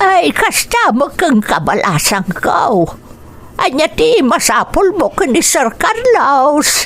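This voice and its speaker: In a put-on character voice, a woman speaks at an extremely high pitch with very wide pitch swings. She goes at a very slow pace over clear background noise. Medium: audio drama. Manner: warm, chatty.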